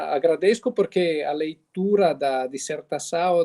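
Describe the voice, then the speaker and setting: The man speaks at a fairly slow pace with a dark, mellow tone and fairly high pitch. His pitch varies in an ordinary way, and the sound is dry and close, with no echo. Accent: Italian. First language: Italian (speaking Portuguese). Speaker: professor, seminar moderator. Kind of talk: academic discussion. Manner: halting.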